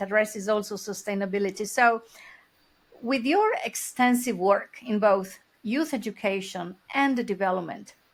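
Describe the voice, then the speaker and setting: Ordinary pitch variation runs through the speech, which moves at a moderate pace. It is a plain, everyday voice. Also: woman, fairly high pitch for a woman. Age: 60s. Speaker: podcast host. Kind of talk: podcast interview.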